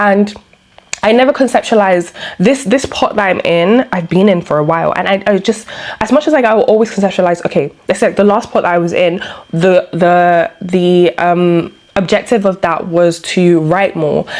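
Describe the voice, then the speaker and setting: A woman with a medium pitch speaks with ordinary pitch variation and very even loudness over noticeable background noise. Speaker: vlogger. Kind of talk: casual personal vlog monologue. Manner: fast; hesitant, many fillers.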